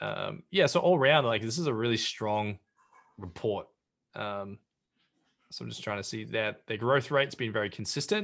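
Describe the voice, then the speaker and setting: Speaking at a moderate pace over a quiet background, a man with an Australian accent uses a fairly low pitch and ordinary pitch variation. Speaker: brand strategist and entrepreneur. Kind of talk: interview. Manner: halting, many fillers and repeated words.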